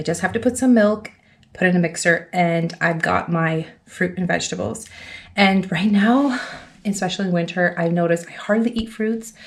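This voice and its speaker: A woman's somewhat breathy voice at medium pitch moves at a moderate pace with ordinary pitch variation. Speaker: stay-at-home mom vlogger. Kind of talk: casual vlog talk to camera. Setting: at home. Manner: chatty.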